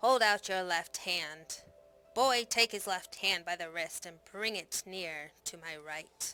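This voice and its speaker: Soft-spoken and at a fairly slow pace, a woman uses a put-on character voice at a medium pitch. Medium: read story. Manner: soft-spoken, menacing.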